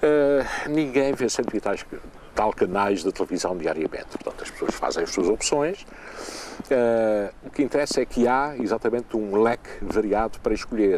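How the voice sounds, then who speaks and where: Noticeable background noise sits behind a man's medium-pitched voice, which moves at a moderate pace with lively intonation. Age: 60s. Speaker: retired television presenter. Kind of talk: interview.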